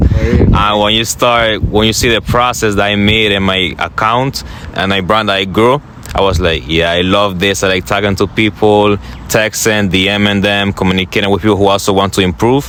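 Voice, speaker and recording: Against noticeable background noise, a man with a fairly low pitch talks at a fairly quick pace, his loudness very even and his pitch varying in an ordinary way. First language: not English. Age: young. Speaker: motivational content creator. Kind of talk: interview.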